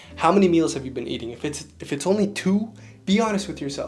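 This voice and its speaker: A man speaks in an animated tone at a fairly quick pace, with lively intonation. Music plays in the background. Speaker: fitness coach. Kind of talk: casual vlog tutorial.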